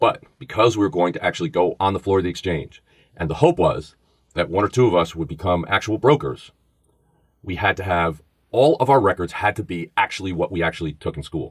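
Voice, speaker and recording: Very deep, low-pitched male voice with a New York accent, lively intonation and a fairly quick pace, dry and close with no echo, on a very clean recording with a silent background. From New York, the Bronx. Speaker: former FBI agent and podcast host. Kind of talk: podcast interview, storytelling.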